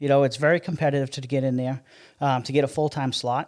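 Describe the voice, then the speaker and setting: The speech comes very fast. It's a man with an American accent. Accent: Massachusetts accent noticed by Texans. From Massachusetts, US Northeast. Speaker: city public works director. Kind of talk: podcast interview. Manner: conversational with many fillers.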